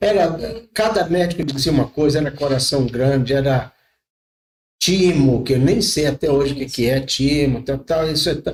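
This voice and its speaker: His voice somewhat breathy, the man keeps a moderate pace and an ordinary amount of pitch movement. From rural Brazil. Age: 60s. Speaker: pastor. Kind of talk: podcast interview, testimony.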